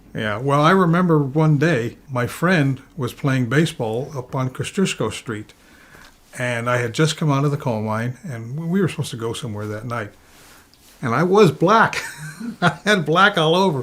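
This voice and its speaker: An unremarkable speaking voice from a man, fairly high-pitched, at a moderate pace with lively intonation. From Nanticoke, Pennsylvania. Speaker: storyteller, former coal mine laborer. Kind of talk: interview answer.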